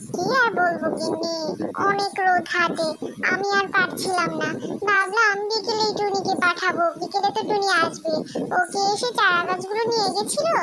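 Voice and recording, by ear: A cartoonish character voice talks at a moderate pace. Loud background noise runs behind it.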